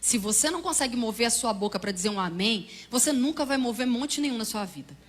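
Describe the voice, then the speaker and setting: Lively intonation moves at a fairly quick pace, with audible room echo around the voice. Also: woman, fairly high pitch for a woman. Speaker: preacher and Bible teacher. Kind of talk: sermon. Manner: fast.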